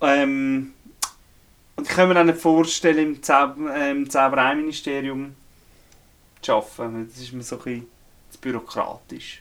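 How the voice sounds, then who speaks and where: A man with a Swiss accent speaks at a fairly high pitch and moderate pace, with fairly even intonation, big swings in loudness, and long, frequent pauses. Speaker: podcast co-host, storyteller. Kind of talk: casual chat. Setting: indoors in a remote cabin.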